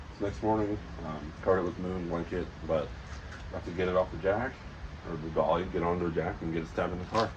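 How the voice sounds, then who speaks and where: A man with an American accent, very deep and low in pitch with ordinary pitch variation, at a very fast pace broken by long, frequent pauses, amid noticeable background noise and audible room echo. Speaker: car enthusiast vlogger. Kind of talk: casual vlog.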